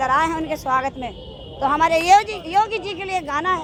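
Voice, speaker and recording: The intonation is lively and the pace moderate. Crowd noise carries in the background. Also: woman. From Bundelkhand, Uttar Pradesh (Jhansi). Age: 60s. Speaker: folk artist and social worker. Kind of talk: interview.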